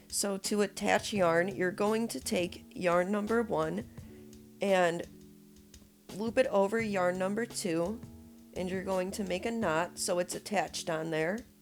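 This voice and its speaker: Music plays behind a woman speaking at a fairly slow pace. Her pitch is medium, with ordinary pitch variation. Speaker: crochet tutorial maker. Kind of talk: instructional tutorial voiceover. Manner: casual, encouraging.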